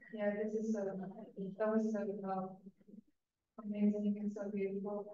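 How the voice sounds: In a room with strong echo, a woman of medium pitch speaks slowly with a dark, mellow tone and monotone, flat intonation.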